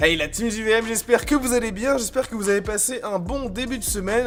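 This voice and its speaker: Music plays in the background. A man with a high pitch talks at a fairly quick pace. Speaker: gaming video host. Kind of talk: scripted news roundup.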